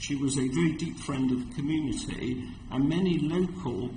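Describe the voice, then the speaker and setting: A man's fairly high voice with a southern English accent, ordinary pitch variation and a moderate pace, plus audible room echo. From London, England. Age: 60s. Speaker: community organisation representative. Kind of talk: committee hearing testimony. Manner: halting.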